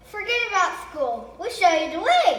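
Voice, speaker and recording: A woman performs a put-on character voice at an extremely high pitch with lively intonation, heard with a slight echo. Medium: read story.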